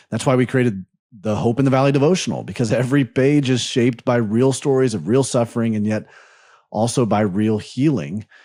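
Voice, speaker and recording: Fairly quick male speech with a dark, mellow tone, medium pitch, ordinary pitch variation, and a very clean recording with a silent background. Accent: American. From US South, Birmingham, Alabama. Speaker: podcast host. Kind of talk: interview chat; donation appeal.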